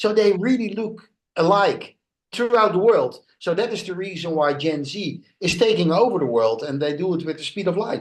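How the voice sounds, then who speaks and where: With a Dutch accent, a man speaks at a high pitch. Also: lively intonation, moderate pace. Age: 60s. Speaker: international speaker and author. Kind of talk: podcast interview. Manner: halting, many fillers.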